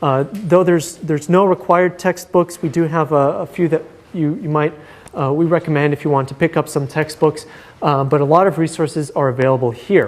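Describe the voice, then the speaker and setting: The speech moves at a fairly quick pace. Noticeable background noise comes through. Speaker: course instructor. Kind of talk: lecture. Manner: fast; halting.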